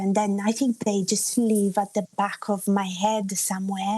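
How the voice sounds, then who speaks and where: Speaking at a fairly slow pace with an Italian accent, a woman of medium pitch has a dark, mellow tone. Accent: Italian-tinged English. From Italy (Umbria), Australian father. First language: Italian and English bilingual. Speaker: singer-songwriter. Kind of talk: radio interview.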